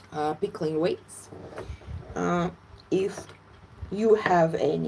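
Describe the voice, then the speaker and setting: Very slowly, a woman speaks. She has a Russian accent. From Latvia, Russian-speaking. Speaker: fermentation educator. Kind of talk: live cooking tutorial. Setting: livestream from home. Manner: animated.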